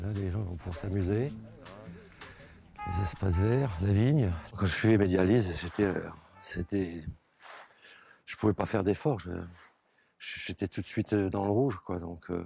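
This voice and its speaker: A fairly low-pitched man at a moderate pace, ordinary pitch variation, music in the background. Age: 60s. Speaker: kidney transplant patient. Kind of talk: testimony. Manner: halting, repeats words.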